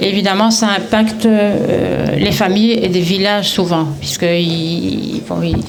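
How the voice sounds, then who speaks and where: In a Belgian accent, a woman speaks fairly slowly at medium pitch with ordinary pitch variation. There is audible room echo and music in the background. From Brussels, Belgium. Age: 70s. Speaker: retiree promoting a direct-sales business. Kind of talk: event testimony speech. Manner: halting, many hesitations.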